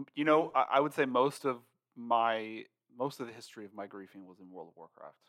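Medium in pitch with ordinary variation, a man speaks at a fairly quick pace in an unremarkable speaking voice. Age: 30s. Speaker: podcast co-host, former IT worker turned writer. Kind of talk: casual chat.

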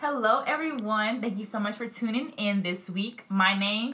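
An American-accented woman speaks at a medium pitch and a moderate pace. Her tone is bright and sharp, with ordinary pitch variation.

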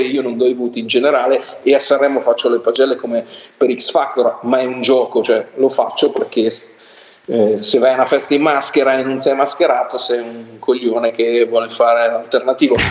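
Noticeable background noise behind a man at a moderate pace, medium in pitch, his intonation fairly even. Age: 50s. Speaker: music critic. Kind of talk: casual chat.

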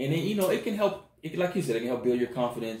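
A man with an American accent, fairly high-pitched and somewhat breathy, with lively intonation. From US South, Mississippi. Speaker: podcast co-host. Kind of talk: casual chat.

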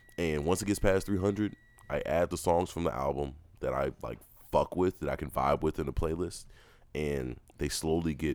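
Very deep and low, a man's voice with vocal fry moves at a moderate pace with ordinary pitch variation. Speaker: podcast co-host. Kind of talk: casual banter, comedic chat.

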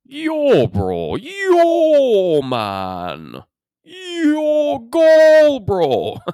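This is a put-on character voice. It is pitched high. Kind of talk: casual street slang.

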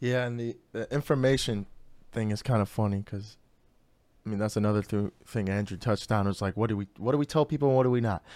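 A man with an American accent speaks at a very fast pace in a fairly low voice. His pitch variation is ordinary, and the recording is very clean with a silent background. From Chicago south suburbs, US Midwest. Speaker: podcast host. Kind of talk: casual chat.

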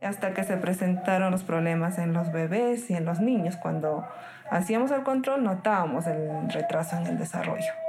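With music in the background and audible room echo, a woman speaks at a fairly low pitch and moderate pace, her loudness very even and her pitch variation ordinary. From Peru, Cerro de Pasco. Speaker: nurse. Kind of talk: interview.

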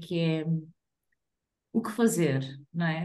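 The voice has a dark, mellow tone and a European Portuguese accent. It moves at a very slow pace. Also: woman. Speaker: podcast co-host. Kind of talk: casual chat.

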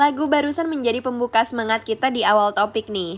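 At a moderate pace, a high-pitched woman speaks in an upbeat, animated tone. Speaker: radio host. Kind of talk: radio DJ patter, a bright scripted on-air welcome and sign-off. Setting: studio. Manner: upbeat, chatty and animated, with a friendly morning-show lilt; playful, peppering Indonesian with English filler words.

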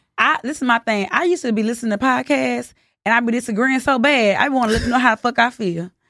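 In a Southern US accent, a woman talks very fast in a bright, sharp tone at fairly high pitch with ordinary variation. The recording is very clean, with a silent background. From US South. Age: 30s. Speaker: podcast co-host. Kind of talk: casual chat.

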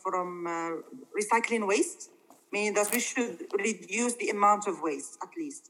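Here a woman talks at a medium pitch. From Morocco. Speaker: English teacher. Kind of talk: interview. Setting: video call. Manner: halting.

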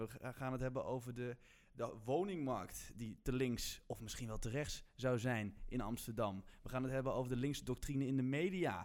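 A man speaks with hardly any pauses, at medium pitch with ordinary pitch variation. It is an ordinary speaking voice. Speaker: student podcast host. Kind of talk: casual chat.

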